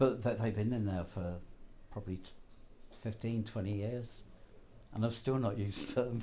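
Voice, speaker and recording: A man at a medium pitch speaks at a moderate pace with fairly even intonation and a dark, mellow, somewhat breathy tone. Long, frequent pauses break up his speech, and room echo is audible. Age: 80s+. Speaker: betting shop manager. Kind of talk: interview.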